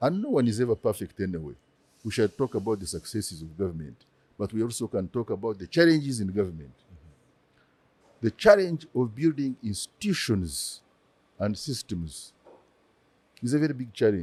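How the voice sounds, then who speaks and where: The man's pitch swings very widely as he talks at a fairly quick pace with long, frequent pauses, in a dry, close sound with no echo. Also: medium pitch for a man. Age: 70s. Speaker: former government minister. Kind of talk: live podcast interview. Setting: live recording with audience.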